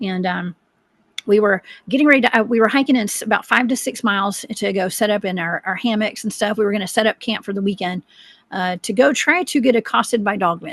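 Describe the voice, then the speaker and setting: Talking at a very fast pace, a woman speaks with a Southern US accent at a medium pitch. The sound is dry and close, with no echo. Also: ordinary pitch variation. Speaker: cryptid researcher. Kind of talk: interview storytelling.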